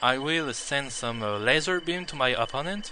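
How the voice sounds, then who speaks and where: Over noticeable background noise, a man with a non-native accent speaks at a fairly slow pace, his fairly high pitch carried by lively intonation. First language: not English. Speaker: video game player. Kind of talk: gameplay tutorial. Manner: halting, many fillers.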